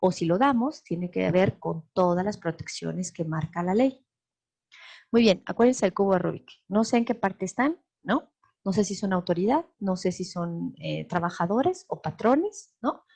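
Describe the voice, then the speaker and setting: A woman's somewhat breathy, dark and mellow medium-pitched voice with lively intonation at a moderate pace, in a quiet background. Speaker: lecturer on transparency law. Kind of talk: webinar lecture. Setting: online webinar.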